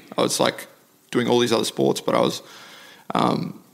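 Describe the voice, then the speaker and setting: Speech comes at a fairly quick pace, with noticeable noise in the background. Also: man. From South Africa, then Mackay, North Queensland from childhood. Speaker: MMA fighter. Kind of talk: casual interview conversation.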